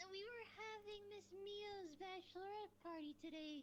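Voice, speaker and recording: A woman does a squeaky, put-on character voice at an extremely high pitch. She keeps a moderate pace over clear background noise. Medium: game stream.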